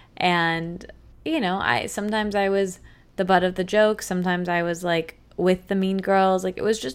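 A woman with an American accent has an ordinary speaking voice at a medium pitch. She talks at a moderate pace with ordinary pitch variation. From Michigan. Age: 20s. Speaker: podcaster and author. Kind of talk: casual interview.

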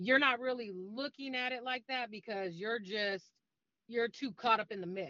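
The speaker has an unremarkable speaking voice, keeping a moderate pace with ordinary pitch variation. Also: woman, fairly high pitch for a woman. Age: 40s. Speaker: domestic violence advocate. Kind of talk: interview.

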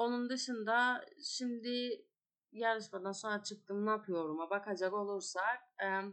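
A woman speaks with a Turkish Cypriot accent. Her pitch varies in an ordinary way. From Northern Cyprus. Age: 20s. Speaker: cooking show contestant and gastronomy lecturer. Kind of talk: casual interview.

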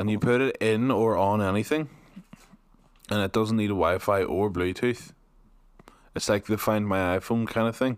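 A man with a Northern Irish accent speaks at a moderate pace in a fairly low pitch, animated in tone and very even in loudness, with long, frequent pauses on a very clean recording against a silent background. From Northern Ireland. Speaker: podcast host. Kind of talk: casual chat. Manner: animated, jokey.

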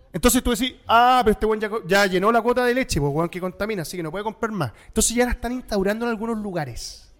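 A man with a high pitch and a Chilean accent, talking at a very fast pace with hardly any pauses. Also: ordinary pitch variation. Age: 40s. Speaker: podcast host. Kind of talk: casual chat.

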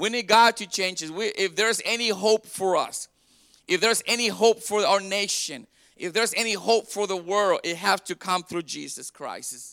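In a very clean recording with a silent background and a dry, close sound with no echo, a man projects his raised voice. His pitch is high, his tone bright and sharp, his pace moderate and his pitch variation ordinary. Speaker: pastor. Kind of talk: Easter Sunday sermon, call-and-response preaching to a congregation. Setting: church. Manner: fervent, rising exhortation with crowd prompts like 'Come on, somebody'; repetitive, stumbling restarts as he builds emphasis.

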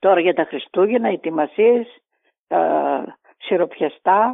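A woman at a medium pitch and a fairly slow pace. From Greece, Thrace. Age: 60s. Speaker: grandmother. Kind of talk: interview.

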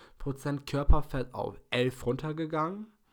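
Using a plain, everyday voice, a man talks at a moderate pace, his pitch varying in an ordinary way. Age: 20s. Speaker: podcast host and fitness student. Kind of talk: solo podcast monologue.

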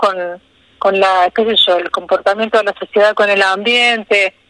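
With an ordinary speaking voice, a woman talks at a moderate pace in fairly even intonation, the sound dry and close with no echo. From Argentina, Río Tercero, Córdoba. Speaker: wildlife foundation president. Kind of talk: radio interview.

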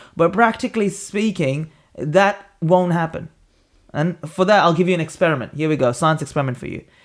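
Ordinary pitch variation runs through speech delivered at a fairly quick clip. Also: man, high pitch for a man. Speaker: podcast host. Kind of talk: casual chat.

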